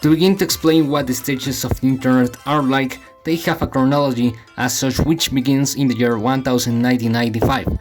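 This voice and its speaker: Music plays behind a man with a medium pitch. He speaks fairly quickly with fairly even intonation. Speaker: YouTuber. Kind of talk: video essay narration.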